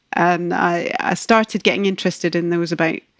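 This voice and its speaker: A woman's fairly low, monotone voice with flat intonation at a moderate pace, dry and close with no echo, on a very clean recording with a silent background. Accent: Scottish. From Scotland. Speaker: ecologist. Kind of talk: podcast interview.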